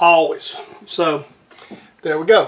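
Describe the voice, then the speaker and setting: A man speaks with a Southern US accent. His pitch runs high. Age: 60s. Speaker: home machinist. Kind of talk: tutorial. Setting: workshop. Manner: casual, halting.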